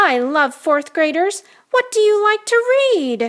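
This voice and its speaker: A woman puts on a squeaky character voice at an extremely high pitch with very wide pitch swings, speaking fairly slowly at a very even loudness. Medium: read story. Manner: upbeat, teasing.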